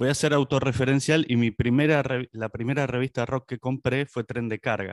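A plain, everyday voice belongs to this man, who speaks at a medium pitch and moderate pace with fairly even intonation, the sound dry and close with no echo over a quiet background. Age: 50s. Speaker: podcast host. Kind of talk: interview.

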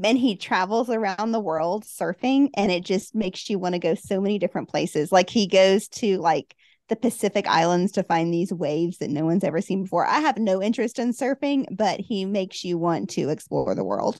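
In a Southern US accent, a woman speaks at a medium pitch and fairly quick pace, the sound dry and close with no echo and a quiet background. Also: ordinary pitch variation, hardly any pauses. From US South, Huntsville, Alabama. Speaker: travel book blogger. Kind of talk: interview.

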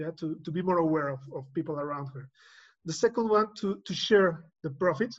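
The background is quiet. A man speaks in a Spanish accent. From Mexico City. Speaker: engineer and college teacher. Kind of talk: casual chat. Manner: halting.

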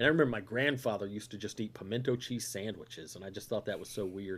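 A man talks at a fairly quick pace with a Southern US accent. His pitch sits in the medium range, with ordinary variation. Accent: Southern US (Georgia). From US South, north Georgia. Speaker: comedian. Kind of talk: casual chat.

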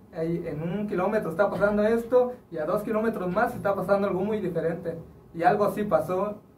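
Audible room echo and noticeable background noise surround a high-pitched man who speaks at a moderate pace with fairly even intonation. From Juchitán, Oaxaca, Mexico. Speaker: rapper. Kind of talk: casual chat.

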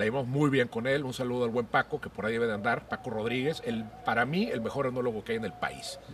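Over noticeable background noise, a man talks at a very fast pace with hardly any pauses, in a medium pitch with fairly even intonation. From Monterrey, northeastern Mexico. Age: 50s. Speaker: podcast host, cook and columnist. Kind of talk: casual chat. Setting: at home, outdoors in garden.

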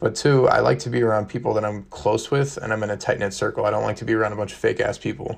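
A man with a fairly low pitch and vocal fry at a very fast pace, over a quiet background. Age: 20s. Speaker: podcast host. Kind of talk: solo monologue podcast.

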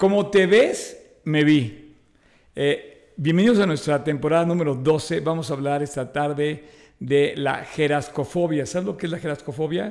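Here is an unremarkable speaking voice from a man with a fairly high pitch. He talks at a fairly slow pace with ordinary pitch variation. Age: 60s. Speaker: podcast co-host. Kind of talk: casual chat.

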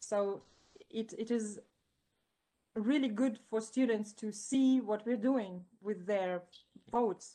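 A woman's very slow, dark, mellow delivery in a non-native accent, broken by long, frequent pauses. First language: not English. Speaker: student parliament member. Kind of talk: interview.

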